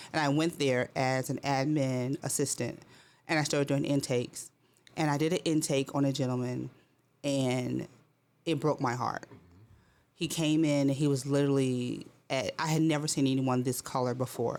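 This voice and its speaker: With an American accent, the speaker keeps a moderate pace broken by long, frequent pauses. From Connecticut. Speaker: clinician. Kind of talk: casual interview.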